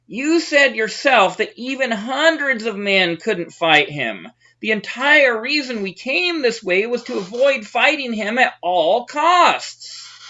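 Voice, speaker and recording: Using a put-on character voice, a woman talks at a fairly slow pace, her fairly high pitch making very wide swings. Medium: read story. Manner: anxious.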